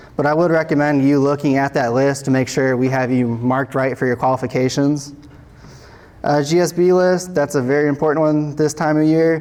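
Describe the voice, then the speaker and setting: Fairly quick and very even in loudness, a man's fairly high voice keeps a fairly even intonation. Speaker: state transportation materials engineer. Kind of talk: conference presentation. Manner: fast.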